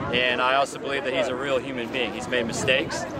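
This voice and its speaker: Noticeable background noise and audible room echo surround speech delivered at a very fast pace. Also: man. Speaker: veteran and mechanic. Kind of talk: street interview. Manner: animated.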